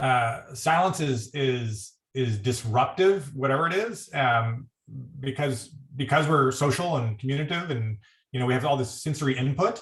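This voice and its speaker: At a moderate pace and medium pitch, a man speaks in a somewhat breathy voice with ordinary pitch variation. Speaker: critical care physician. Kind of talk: panel discussion.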